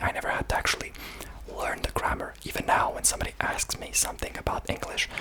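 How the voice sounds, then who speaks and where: A man whispering at a very fast pace over noticeable background noise. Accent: Serbian. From Serbia. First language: Serbian. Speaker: ASMR creator. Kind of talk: ASMR talk about languages. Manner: soft-spoken; halting, many fillers.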